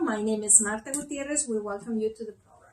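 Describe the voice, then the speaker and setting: The speaker has a slight Spanish accent. Pitch variation is ordinary. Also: woman. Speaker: co-host of spiritual talk show. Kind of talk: talk show discussion.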